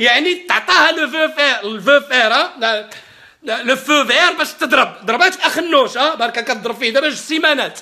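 Extremely high in pitch, a man speaks in a raised, projected voice at a moderate pace with an animated tone. His pitch varies in an ordinary way against a quiet background. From Morocco. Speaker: political commentator. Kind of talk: political rant. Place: home room. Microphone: webcam.

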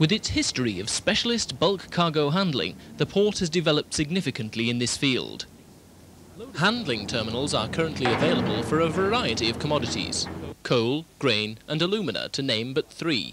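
Against noticeable background noise, a man talks at a fairly quick pace with a dry sound and no echo. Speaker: narrator of a promotional film. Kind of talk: documentary narration.

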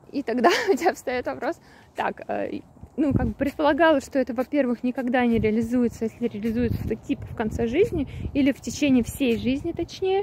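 The speech moves at a fairly quick pace with long, frequent pauses, in a dry sound with no echo, over noticeable background noise. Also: woman. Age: 30s. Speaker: travel vlogger; vlogger. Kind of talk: monologue vlog. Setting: outdoors, walking. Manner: casual, hesitant. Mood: reflective, thoughtful. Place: open country. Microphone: phone near.

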